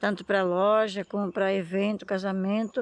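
The intonation is flat and monotone against a quiet background. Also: woman. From Brazil, São Paulo coast (Ilha de Búzios, caiçara community). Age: 50s. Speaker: fisherwoman and artisan. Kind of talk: casual chat. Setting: outdoors.

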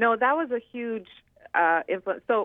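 Ordinary rise and fall of pitch from a woman. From Croatia. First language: Croatian. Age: 40s. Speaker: social media personality and author. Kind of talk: interview. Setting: phone call.

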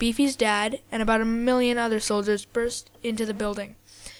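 The recording is reading aloud in a natural voice.

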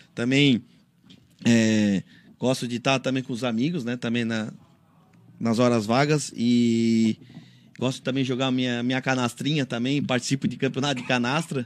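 A man speaks at a moderate pace with fairly even intonation and long, frequent pauses. The recording is very clean, with a silent background. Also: medium pitch for a man. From Santa Catarina, Brazil. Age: 30s. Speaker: city councillor. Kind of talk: radio interview. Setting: radio studio. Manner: halting.

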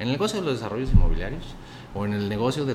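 A man talks with a central Mexican accent. Room echo is audible, and background noise is noticeable. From central Mexico (Zacatecas, raised in Aguascalientes from age 11). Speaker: accountant and investment fund director, former state finance secretary. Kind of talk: interview conversation.

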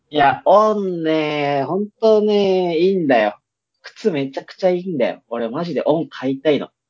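This man has a high pitch and lively intonation. He keeps a moderate pace, with big swings in loudness. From Itabashi, Tokyo. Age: 20s. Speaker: podcast co-host. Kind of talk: casual chat.

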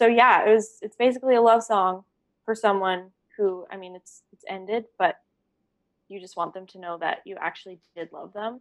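A woman's plain, everyday voice in a Canadian accent, medium in pitch, with ordinary pitch variation and a moderate pace. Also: big swings in loudness. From western Canada (grew up partly in Alberta, moved to Kelowna, BC around age ten). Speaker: singer-songwriter. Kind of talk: casual chat.

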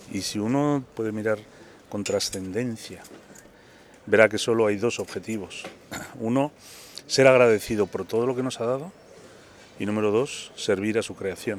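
A man at medium pitch talks at a moderate pace with fairly even intonation, leaving long, frequent pauses. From Indian origin, raised in Spain. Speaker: bookseller. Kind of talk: casual interview.

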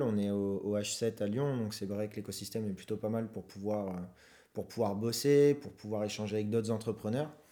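Captured on a very clean recording with a silent background, the speaker uses a dark, mellow tone at a moderate pace with ordinary pitch variation. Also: man. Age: 20s. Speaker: student entrepreneur, co-founder of a startup. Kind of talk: interview. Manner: halting, repeats words.

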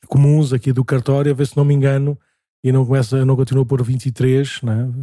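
A man's somewhat breathy voice, dark and mellow in tone, sounds dry and close with no echo. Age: 40s. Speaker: parish priest, podcast host. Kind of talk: casual chat.

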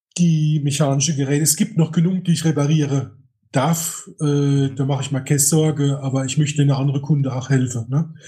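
Somewhat breathy, a man speaks at a fairly quick pace with a fairly high pitch and fairly even intonation. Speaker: camera repair technician. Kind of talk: casual interview chat.

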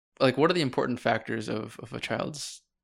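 Vocal fry is heard throughout. The man moves along fairly quickly. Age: 20s. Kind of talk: casual interview.

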